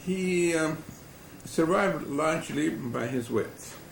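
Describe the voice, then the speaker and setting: A man speaks with a fairly high pitch. Room echo is audible around his voice. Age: 70s. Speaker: family historian. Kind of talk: oral history testimony. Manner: measured, with fillers.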